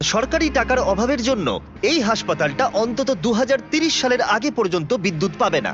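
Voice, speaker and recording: The voice makes very wide pitch swings with music in the background. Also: man, extremely high pitch for a man, very even loudness. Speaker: dubbing voice-over artist. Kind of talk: documentary-style video narration. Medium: dub.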